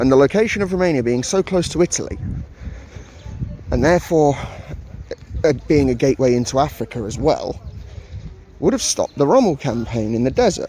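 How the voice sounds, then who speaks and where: A man speaks in an English accent at a fairly high pitch, leaving long, frequent pauses. Noticeable background noise is present. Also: lively intonation, fairly quick pace. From England. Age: 30s. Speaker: travel vlogger. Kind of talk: casual vlog narration. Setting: outdoors in a park. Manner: muffled by face mask.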